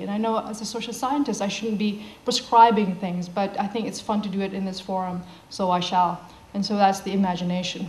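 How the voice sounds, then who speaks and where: Over noticeable background noise and audible room echo, a woman talks at a fairly quick pace and medium pitch with ordinary pitch variation. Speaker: social scientist giving a talk. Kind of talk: conference talk.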